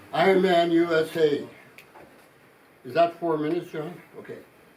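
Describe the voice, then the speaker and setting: A man speaks in a high voice. Background noise is noticeable throughout. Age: 60s. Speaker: charity founder giving a talk to student volunteers. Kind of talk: introductory talk to volunteers. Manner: casual, conversational with frequent 'okay?'.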